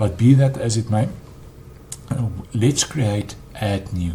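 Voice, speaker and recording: A man's fairly low voice at a fairly slow pace, with lively intonation over noticeable background noise. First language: not English. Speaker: web developer. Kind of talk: tutorial. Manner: halting, frequent ums.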